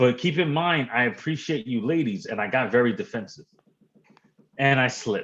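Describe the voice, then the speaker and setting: Lively in intonation and animated in tone, a man with a New York accent talks at a moderate pace and medium pitch. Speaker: livestream guest. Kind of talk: casual chat.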